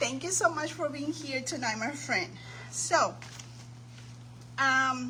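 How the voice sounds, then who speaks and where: Fairly slow speech from a woman amid noticeable background noise. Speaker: craft livestream host. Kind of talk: live stream chat. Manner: animated.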